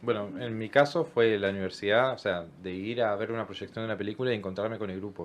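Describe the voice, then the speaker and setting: Words pour out at a very fast pace with hardly any pauses. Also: man, fairly low pitch for a man, ordinary pitch variation. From Argentina, Chubut (Trelew). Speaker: language workshop educator. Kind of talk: radio interview.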